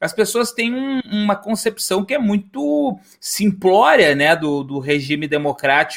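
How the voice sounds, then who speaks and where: On a very clean recording with a silent background, a man speaks at a fairly slow pace with hardly any pauses, a high pitch and very wide pitch swings. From southern Brazil. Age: 40s. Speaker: podcast host and history teacher. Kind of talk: casual discussion podcast.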